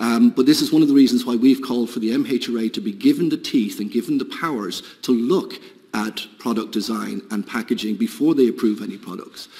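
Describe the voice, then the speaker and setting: Over noticeable background noise, a man with a British accent speaks at a fairly quick pace. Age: 50s. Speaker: industry representative. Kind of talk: committee testimony.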